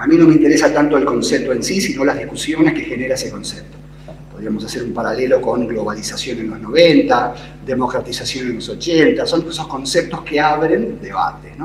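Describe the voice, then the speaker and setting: A fairly quick pace with audible room echo and light background noise. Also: man. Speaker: panelist. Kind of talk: lecture. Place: hall. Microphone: podium.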